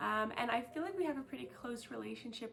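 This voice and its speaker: A high-pitched woman's voice at a fairly quick pace, with audible room echo and noticeable background noise. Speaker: volunteer English tutor. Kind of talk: recorded testimonial. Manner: loud.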